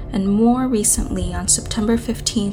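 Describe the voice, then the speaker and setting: A woman speaks in a serious tone at a fairly slow pace. Music plays in the background. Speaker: true crime YouTuber. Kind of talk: true-crime narration. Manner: serious, measured, grave storyteller tone; clear, steady, matter-of-fact delivery of case details.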